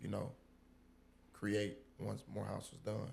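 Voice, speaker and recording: Vocal fry colors this man's fairly low voice. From Illinois. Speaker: restaurant owner, former college basketball player. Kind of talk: casual chat.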